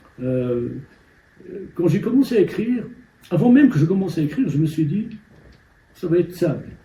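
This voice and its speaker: A man's high-pitched, dark, mellow voice with very wide pitch swings and long, frequent pauses. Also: fairly quick pace. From Morocco, Amazigh-speaking village. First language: Amazigh (Berber) (speaking French). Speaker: novelist. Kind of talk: interview. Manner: hesitant, many fillers and repetitions.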